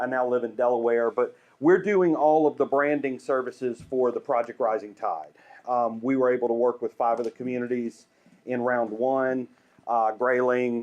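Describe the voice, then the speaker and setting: Moderate pace and fairly even intonation in a Southern US accent. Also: man. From US South, Greenville, South Carolina. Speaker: urban planning and branding consultant. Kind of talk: presentation.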